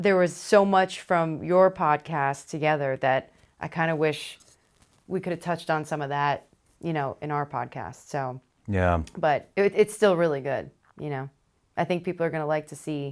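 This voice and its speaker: Against a quiet background, a woman with a very deep, low pitch talks at a moderate pace with ordinary pitch variation. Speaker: podcast co-host. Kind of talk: casual conversation. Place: studio. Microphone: lapel.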